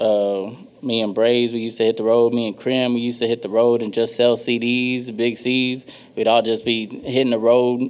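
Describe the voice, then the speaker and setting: A man with an American accent talks at a moderate pace. His medium-pitched voice stays flat and monotone. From Dallas, Texas. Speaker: rapper. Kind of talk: interview.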